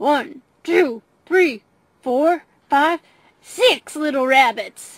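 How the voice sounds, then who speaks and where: A woman's high, put-on character voice at a very slow pace, with long, frequent pauses. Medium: read story. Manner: gloating, chuckling.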